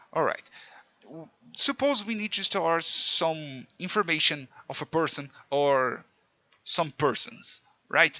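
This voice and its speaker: With a Portuguese accent, a man speaks at a very slow pace and fairly high pitch, with lively intonation, long, frequent pauses and big swings in loudness. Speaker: programming teacher. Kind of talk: tutorial. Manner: halting, self-correcting.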